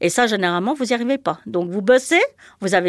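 Her pitch sits in the medium range but swings very widely, as a woman speaks with a dry, close sound and no echo. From Switzerland. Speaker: former cleaner and childminder. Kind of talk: testimony.

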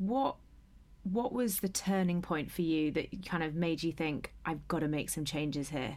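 A woman with an unremarkable speaking voice talks at a moderate pace in a fairly low pitch. Her loudness stays very even, with ordinary pitch variation. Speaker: podcast host. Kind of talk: interview conversation.

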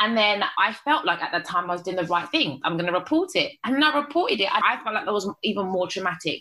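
A woman talks at a very fast pace with hardly any pauses and very wide pitch swings. Her pitch is medium and her tone confident. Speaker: charity founder. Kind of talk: interview conversation. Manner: articulate, confident public speaker.

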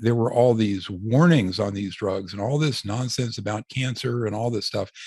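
The background is quiet. A man talks in a somewhat breathy voice. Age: 60s. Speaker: physician and author. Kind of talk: interview.

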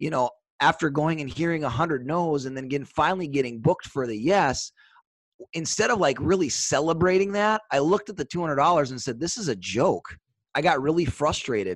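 A man's fairly high voice with an Upper Midwest accent, lively intonation and a fairly quick pace against a quiet background. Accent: Upper Midwest American. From US Upper Midwest (Superior, Wisconsin / Duluth). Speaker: sales trainer. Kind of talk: casual chat.

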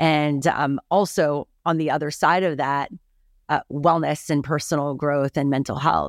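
A woman speaks fairly slowly, her pitch very deep and low, with fairly even intonation. The recording is very clean with a silent background, and the sound is dry and close with no echo. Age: 40s. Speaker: TV host and content creator. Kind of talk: interview.

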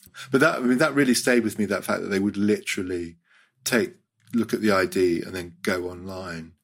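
Speaking at a fairly quick pace with a British accent, a man uses a fairly low pitch and ordinary pitch variation. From Hong Kong. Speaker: writer. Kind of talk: casual chat.

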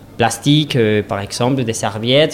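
Fairly even intonation comes through against noticeable background noise. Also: man. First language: Spanish (speaking French). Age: 30s. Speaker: restaurant owner. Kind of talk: interview. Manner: halting.

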